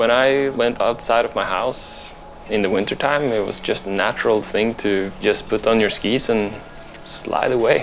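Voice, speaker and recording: A man with a Norwegian accent, medium pitch, fairly even intonation and moderate pace, over music in the background. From Norway, Leksvik. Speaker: free skier. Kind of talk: documentary interview.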